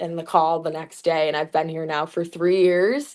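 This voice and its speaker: Speaking with an American accent, a woman keeps her intonation fairly even. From Metro Detroit, Michigan. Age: 20s. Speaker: sports sideline reporter. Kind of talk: podcast interview, casual chat.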